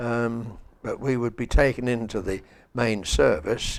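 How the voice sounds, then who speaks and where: Vocal fry runs through a man's speech, which keeps a fairly even intonation. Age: 90s. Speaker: church member sharing memories. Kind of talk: reminiscence interview. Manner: halting.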